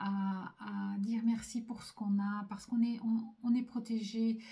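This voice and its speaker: Somewhat breathy, a woman's fairly high voice carries a dark, mellow tone. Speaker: psychic medium doing card readings. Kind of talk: spiritual card reading to camera. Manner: slow; hesitant, many fillers and repetitions.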